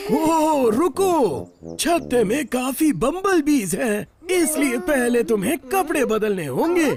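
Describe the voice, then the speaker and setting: Someone puts on a cartoonish character voice, speaking at a very slow pace. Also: man, extremely high pitch for a man. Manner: patient, warm.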